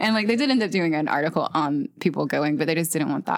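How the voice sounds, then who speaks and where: With an American accent and some vocal fry, the speaker talks at a very fast pace with ordinary pitch variation, on a very clean recording with a silent background. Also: woman. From US South (Chattanooga, Tennessee / Ringgold, Georgia). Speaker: podcast host. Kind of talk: casual interview chat. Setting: in person in the same room.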